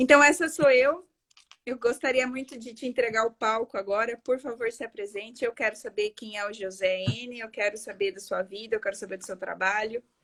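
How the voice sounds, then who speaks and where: A woman's fairly high voice at a moderate pace, with ordinary pitch variation and big swings in loudness. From Paraguay. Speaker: architect and live-stream host. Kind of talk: live-stream interview. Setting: online live stream.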